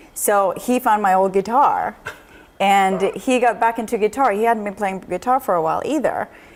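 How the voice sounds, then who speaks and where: A woman's fairly high voice with a Swedish accent, at a moderate pace with ordinary pitch variation. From Sweden. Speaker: jazz singer. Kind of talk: interview. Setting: studio.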